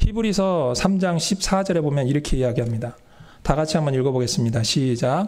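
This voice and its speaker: The man has an unremarkable speaking voice. His pitch varies in an ordinary way. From Seoul, South Korea. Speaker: pastor. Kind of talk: sermon. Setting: church.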